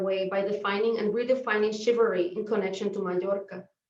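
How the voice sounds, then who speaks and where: A woman with a Spanish accent talks at a very fast pace and a fairly high pitch. Her intonation stays fairly even, and audible room echo surrounds her. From Puerto Rico. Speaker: professor. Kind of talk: academic talk read from script. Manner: formal.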